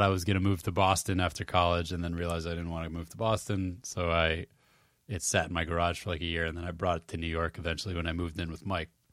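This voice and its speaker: In an American accent, the voice carries a bright, sharp tone and big swings in loudness. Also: man, very clean recording, silent background. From Massachusetts. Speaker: freelancer. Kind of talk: casual chat.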